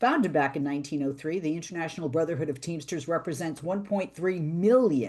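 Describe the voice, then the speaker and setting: A woman talks with a Boston accent in a very deep, low pitch. Her intonation is lively, her pace fairly quick, and the background quiet. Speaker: radio talk show host. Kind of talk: interview.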